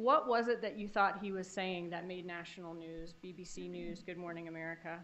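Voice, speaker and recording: Hardly any pauses break up this moderate-paced delivery in a normal speaking voice. The loudness swings widely. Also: woman, fairly low pitch for a woman. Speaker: prosecutor. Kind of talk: courtroom cross-examination. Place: hall.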